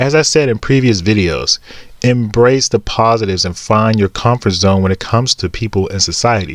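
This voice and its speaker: Fairly low male speech, its pitch varying in an ordinary way. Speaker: vlogger with Asperger's. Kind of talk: personal vlog monologue. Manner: halting, with fillers.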